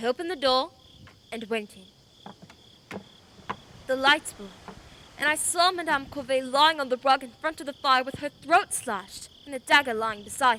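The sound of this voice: In a put-on character voice, a woman speaks at a fairly slow pace with long, frequent pauses, pitched high with a bright, sharp tone and lively intonation.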